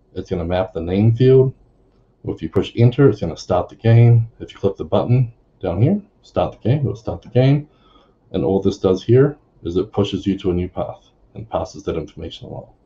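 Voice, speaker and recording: This man has a fairly low pitch and a dark, mellow tone that is somewhat breathy. He talks at a fairly quick pace with ordinary pitch variation. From New Zealand. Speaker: software consultant; presenter. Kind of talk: conference tech talk. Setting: video call, standing. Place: home room.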